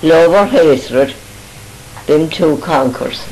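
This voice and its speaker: Speech comes at a fairly slow pace against noticeable background noise. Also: woman. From Ireland, County Galway. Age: 80s+. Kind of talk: reminiscing interview answer. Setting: home recording.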